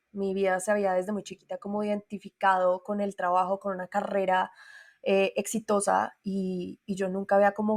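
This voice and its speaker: A woman with a Colombian accent in a dry, close sound with no echo. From Colombia, Bogotá. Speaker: singer and voice coach. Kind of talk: interview conversation.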